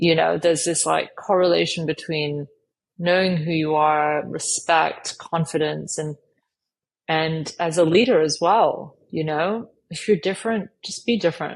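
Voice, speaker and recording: With an American accent, a woman speaks at a fairly slow pace in a fairly low pitch with ordinary pitch variation. Hers is an unremarkable speaking voice. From Asia. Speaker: career coach. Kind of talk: podcast interview.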